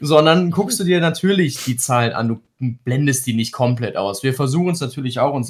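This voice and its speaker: A man speaks at a fairly quick pace in a fairly high, somewhat breathy voice. His pitch moves with ordinary variation. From Krefeld, Lower Rhine, western Germany. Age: 30s. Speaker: Twitch streamer. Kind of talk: casual chat.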